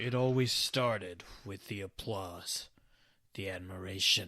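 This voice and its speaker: A man puts on a dramatic character voice, fairly low in pitch and fairly slow in pace. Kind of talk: horror audio log narration. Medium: solo performance. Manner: dramatic, darkly comic.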